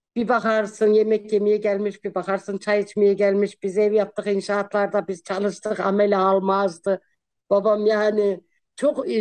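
The background stays quiet while a woman talks fairly slowly. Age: 50s. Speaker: social media personality; guest. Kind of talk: casual interview. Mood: cheerful, laughing, warm. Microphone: video call.

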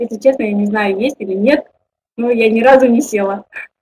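Her voice sits at a fairly high pitch. The woman's pitch moves in an ordinary way. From Kazakhstan. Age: 20s. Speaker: network marketing director; webinar presenter. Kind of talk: online webinar presentation. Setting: webinar with online audience. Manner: informal, hesitant, with fillers. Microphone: webcam.

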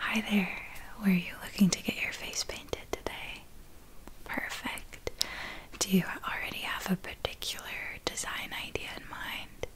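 Whispering at a fairly slow pace, a woman speaks in a gentle tone. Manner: soft-spoken, gentle ASMR voice. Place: home room.

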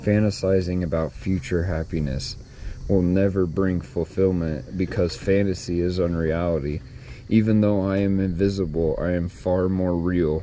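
A man with a very deep, low voice speaks with fairly even intonation over light background noise. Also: dry sound with no echo. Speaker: vlogger. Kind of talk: reading aloud a devotional. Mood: calm, reflective. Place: garden. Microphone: phone near.

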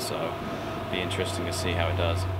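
Through loud background noise, a man's voice comes across. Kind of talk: interview answer. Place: car.

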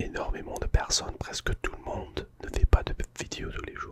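A soft-spoken man whispers at a fairly slow pace. Light background noise sits behind him. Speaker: ASMR YouTuber. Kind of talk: casual vlog chat. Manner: soft close-mic whisper. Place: home room. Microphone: studio mic.

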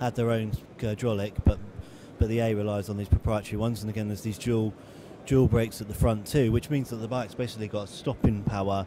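A man talks at a very fast pace in a fairly low, monotone, flat voice, the sound dry with no echo and noticeable background noise behind him. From England. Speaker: motorcycle magazine editor. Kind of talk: casual informative talk about a motorcycle at a show. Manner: conversational, hesitant with frequent fillers. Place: hall.

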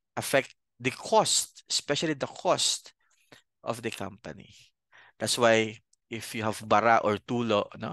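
Over a quiet background, a man talks at a fairly slow pace, the sound dry with no echo. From Bicol, Philippines; Philippines. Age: 30s. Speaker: accounting professor and CPA; accounting lecturer. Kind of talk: lecture. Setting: video call. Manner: halting, many fillers. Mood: friendly, relaxed. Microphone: headset.

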